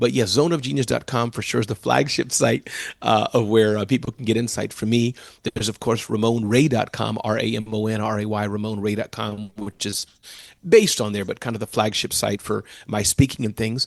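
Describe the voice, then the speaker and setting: A man with a fairly low pitch and vocal fry talks in an animated tone at a fairly quick pace, with ordinary pitch variation. The sound is dry and close with no echo over a quiet background. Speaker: entrepreneur and keynote speaker. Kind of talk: interview. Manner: fast.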